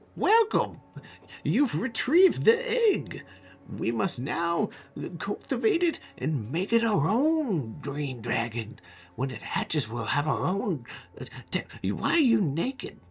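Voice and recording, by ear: A put-on character voice at a middle pitch unfolds at a fairly slow pace.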